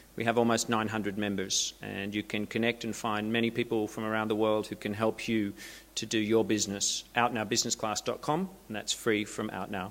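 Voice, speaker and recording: In an Australian accent, a man with a fairly low pitch talks at a fairly quick pace in a flat monotone, recorded very cleanly against a silent background. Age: middle-aged. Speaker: LGBT marketing consultant. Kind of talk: conference presentation. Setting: seminar stage with audience.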